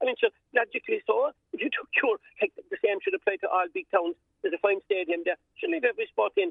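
A man with a Cork accent at a very fast pace. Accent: Cork Irish. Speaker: volunteer sports steward. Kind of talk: radio interview. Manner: animated.

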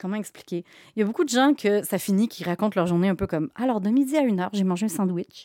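A woman's medium-pitched, dark, mellow voice at a very fast pace, with ordinary pitch variation, in a dry, close sound with no echo and a very clean recording with a silent background. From Quebec. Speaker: comic book author. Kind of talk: interview.

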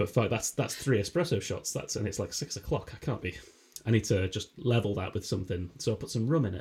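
Somewhat breathy and fairly low, a man's voice moves at a very fast pace. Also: lively intonation. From Humberside, northeast England. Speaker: podcast co-host. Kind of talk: casual comedy chat.

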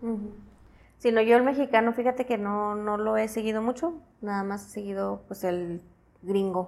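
This woman talks at a moderate pace in a fairly high pitch, with ordinary pitch variation. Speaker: podcast host. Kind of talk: casual interview. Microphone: more echo than usual.

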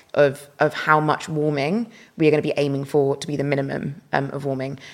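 With a very deep, low pitch, a woman speaks in fairly even intonation. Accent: British. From UK. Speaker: climate justice activist. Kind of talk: interview.

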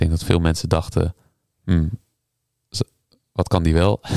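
The tone is dark and mellow, with fairly even intonation at a moderate pace. The sound is dry and close, with no echo. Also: man. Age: 30s. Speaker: harpist and composer. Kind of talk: casual interview.

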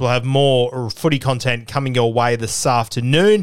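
A medium-pitched man's voice with an Australian accent. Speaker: rugby league podcaster. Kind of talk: casual interview chat. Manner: halting, stuttery.

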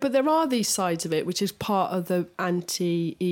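A woman speaks at a fairly slow pace with an English accent. The recording is very clean, with a silent background. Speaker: podcast co-host, designer. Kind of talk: casual chat.

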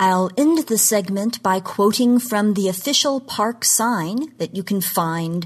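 This woman has a plain, everyday voice with an American accent and lively intonation. She speaks at a fairly slow pace against a quiet background. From Oklahoma. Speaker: genre history commentator. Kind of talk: scripted segment talk.

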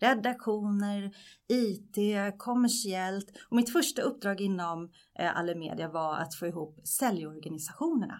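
An unremarkable speaking voice moves at a fairly slow pace with lively intonation, in a very clean recording with a silent background. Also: woman. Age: 40s. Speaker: media executive. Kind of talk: podcast interview.

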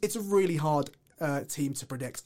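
A man speaks with an English accent. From England. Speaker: student podcast host. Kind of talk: casual chat.

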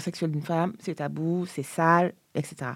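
This woman has a fairly low pitch and a dark, mellow tone. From Senegal, Dakar. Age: 30s. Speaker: feminist activist. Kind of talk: interview testimony. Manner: halting.

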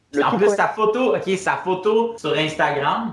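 Noticeable background noise sits under a man talking, and his voice has audible room echo. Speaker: stand-up comedian. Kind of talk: casual interview.

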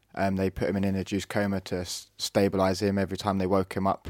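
A man with a Norfolk accent talks very fast in a very deep, low voice, in a very clean recording with a silent background. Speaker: brother and carer of brain injury survivor. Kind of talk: interview.

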